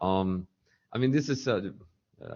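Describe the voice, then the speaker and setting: Speaking fairly quickly, a man uses lively intonation in a very deep, low voice. He has a non-native accent. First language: not English. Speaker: network engineer, meeting participant. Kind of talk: technical meeting discussion. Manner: halting.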